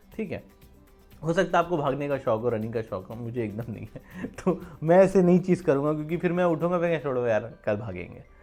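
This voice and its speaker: Music plays behind a man whose pitch swings very widely. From Uttar Pradesh, India. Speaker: vlogger. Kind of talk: motivational talk to camera. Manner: casual, conversational.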